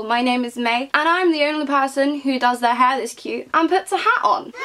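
Over noticeable background noise, a woman speaks with a British accent. Her high pitch and lively intonation come at a fairly quick pace. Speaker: book reviewer. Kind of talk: casual vlog review. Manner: chatty.

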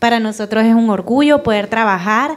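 An unremarkable speaking voice goes along at a fairly slow pace. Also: woman, quiet background. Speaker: cluster project specialist. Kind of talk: welcome speech. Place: hall. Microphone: handheld.

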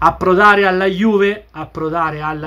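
A man talks, keeping a moderate pace. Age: 40s. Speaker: football YouTuber; football fan vlogger. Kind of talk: video commentary monologue. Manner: repetitive, animated. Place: home room. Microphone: webcam.

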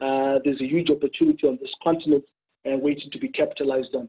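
A man at a very fast pace, fairly even intonation, quiet background. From Zimbabwe. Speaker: consulting firm director; webinar panelist. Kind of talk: panel discussion. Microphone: webcam.

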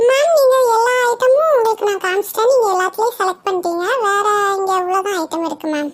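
A cartoonish character voice, extremely high in pitch, at a fairly quick pace. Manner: polite, mixes English words.

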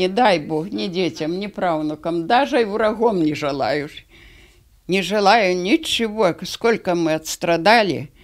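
Lively intonation at a very slow pace. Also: woman, medium pitch for a woman. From Belarus. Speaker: concentration camp survivor. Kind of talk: testimony. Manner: halting. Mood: grave, sorrowful remembering. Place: home room. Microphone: handheld.

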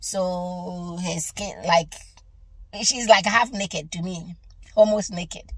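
Somewhat breathy, a woman speaks very slowly against a quiet background, the sound dry with no echo. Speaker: religious vlogger. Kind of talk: casual vlog chat, testimony. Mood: relaxed, sometimes laughing. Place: car.

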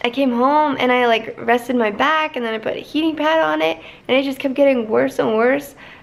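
With ordinary pitch variation, a woman keeps her speech at a moderate speed. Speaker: vlogger. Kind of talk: casual vlog chat. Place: home room. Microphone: phone near.

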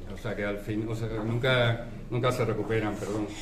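A man talks at a fairly quick pace amid light background noise and audible room echo. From Cáceres, Extremadura, Spain. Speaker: Civil Guard captain. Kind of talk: farewell speech. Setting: public event with audience. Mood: grateful, warm. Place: cafe. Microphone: camera far.

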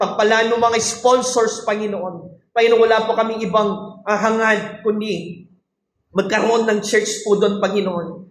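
A man with a high pitch speaks fairly slowly in a monotone, flat intonation, keeping his loudness very even. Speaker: church Bible study leader praying. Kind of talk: fervent intercessory prayer over a livestream, declaring healing and blessing. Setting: online livestream after a Bible study. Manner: fervent, pleading, repeating 'I declare' in rising, emphatic bursts; code-switching between Tagalog and English, some stumbling repetition.

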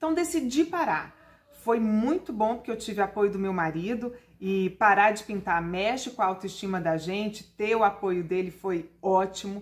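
A woman talks at medium pitch and a moderate pace. Her intonation is lively. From Brasília, Brazil. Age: 40s. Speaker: journalist and TV presenter; journalist, TV presenter. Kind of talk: testimony. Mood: warm, upbeat storytelling. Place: home room. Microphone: phone near.

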